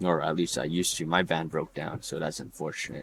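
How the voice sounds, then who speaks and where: The man talks at a fairly quick pace, recorded with a dry, close sound with no echo. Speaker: podcast host. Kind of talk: solo podcast monologue. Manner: halting.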